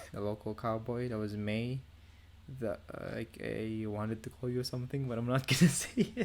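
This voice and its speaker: Having an unremarkable speaking voice, a man talks at a moderate pace and medium pitch with fairly even intonation. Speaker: podcast host. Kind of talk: casual chat. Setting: online voice call.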